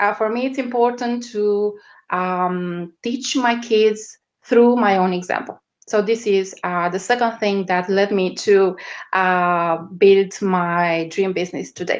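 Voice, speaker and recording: A woman with a strong Romanian accent speaks very slowly at a medium pitch, her intonation fairly even against a quiet background. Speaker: media strategist. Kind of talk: interview. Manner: halting, many fillers.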